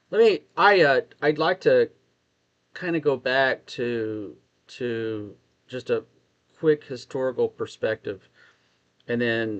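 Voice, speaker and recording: Over a quiet background, a man with a Texas accent and medium pitch is heard in a dry, close sound with no echo. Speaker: discussion participant. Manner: hesitant, uses fillers.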